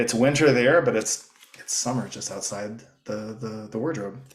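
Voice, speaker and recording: A man speaks at a moderate pace in an unremarkable speaking voice, his medium pitch carrying ordinary variation. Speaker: storyteller. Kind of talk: casual read-aloud commentary.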